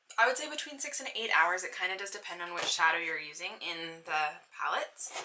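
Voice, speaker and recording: With audible room echo and noticeable background noise, a woman speaks at medium pitch and a fairly quick pace, her pitch swinging very widely. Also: big swings in loudness. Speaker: beauty vlogger. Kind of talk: product review. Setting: bedroom. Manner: fast.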